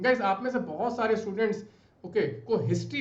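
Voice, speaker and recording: The room echo is audible as a man talks at a moderate pace. His tone is animated, with ordinary pitch variation. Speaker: UPSC exam mentor. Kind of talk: tutorial.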